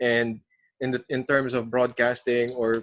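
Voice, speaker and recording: Moderately paced speech from a man, medium-pitched, with monotone, flat intonation. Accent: Filipino. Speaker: podcast host, broadcasting coach. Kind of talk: podcast interview.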